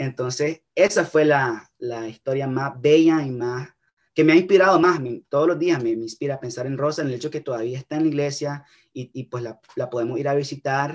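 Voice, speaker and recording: A man speaks with a Nicaraguan accent at a fairly quick pace. His pitch is fairly high, with ordinary variation. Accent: Nicaraguan Spanish, uses voseo. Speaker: young documentary filmmaker. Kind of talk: interview. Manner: halting, with many repetitions.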